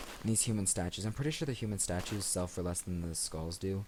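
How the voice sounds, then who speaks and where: Mumbling at a fairly quick pace, a man with a very deep, low pitch keeps his intonation fairly even. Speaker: let's play gamer. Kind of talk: gameplay commentary. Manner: low-energy.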